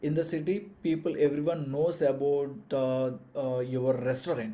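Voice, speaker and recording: A man speaks at a fairly slow pace with a Telugu accent. His tone is dark and mellow, and the room echo is audible. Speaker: business coach. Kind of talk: live online lecture. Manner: hesitant, many fillers and restarts.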